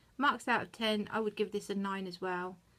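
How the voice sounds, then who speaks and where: A woman speaks with a British accent. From UK. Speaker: YouTube reviewer. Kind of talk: product review. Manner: fast; hesitant with fillers.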